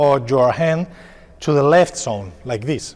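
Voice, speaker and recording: A man speaks with a Spanish accent at a fairly slow pace. His intonation is lively. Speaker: padel coach. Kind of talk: tutorial. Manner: halting.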